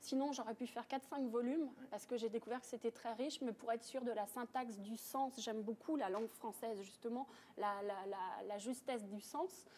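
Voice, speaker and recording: Ordinary pitch variation shapes speech that proceeds at a moderate pace. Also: woman, fairly high pitch for a woman. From France. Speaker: author, painter and yoga teacher. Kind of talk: TV interview answer.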